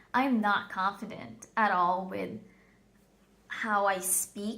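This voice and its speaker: A woman talks at a very slow pace in a medium pitch, with vocal fry. Her tone is bright and sharp, and her intonation stays fairly even. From Philippines. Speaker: vlogger. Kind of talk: personal storytelling vlog. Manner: hesitant, many fillers.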